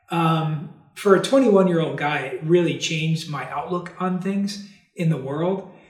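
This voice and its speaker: The man's voice sits high, with an American accent and a fairly slow pace. Audible room echo surrounds the recording. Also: ordinary pitch variation. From New York / New Jersey, then Texas. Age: 40s. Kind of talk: interview testimony. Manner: cheerful, smiling.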